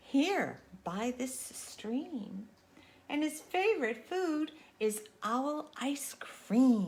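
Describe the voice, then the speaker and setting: Very slowly, the speaker drawls out lines in a put-on character voice. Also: woman, high pitch for a woman. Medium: read story. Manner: cheeky, confident.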